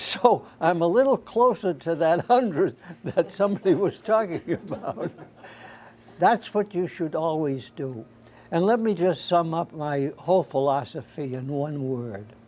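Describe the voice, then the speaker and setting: The intonation is lively. The pace is fairly slow. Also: man, high pitch for a man. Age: 90s. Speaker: elderly subject of oral history documentary. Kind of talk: casual chat.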